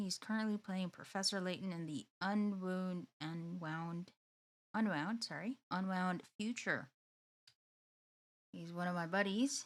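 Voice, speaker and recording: At a medium pitch, a woman talks with lively intonation. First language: not English. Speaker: streamer. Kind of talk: casual chat. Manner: halting.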